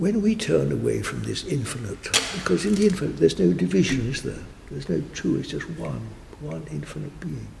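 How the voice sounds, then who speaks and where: Amid noticeable background noise, a man speaks with big swings in loudness. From England. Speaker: meditation teacher. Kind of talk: interview answer. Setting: church. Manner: slow, calm.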